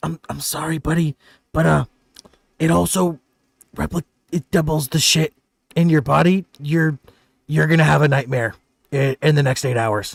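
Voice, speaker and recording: Whispering in a put-on character voice, a man leaves long, frequent pauses. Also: moderate pace. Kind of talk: casual, apologetic.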